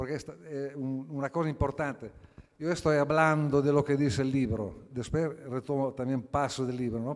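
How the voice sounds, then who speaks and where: A man talks at a moderate pace and a fairly high pitch. His intonation stays fairly even. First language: Italian (speaking Spanish). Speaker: philosopher, book presenter. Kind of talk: book presentation talk. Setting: auditorium with audience. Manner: halting.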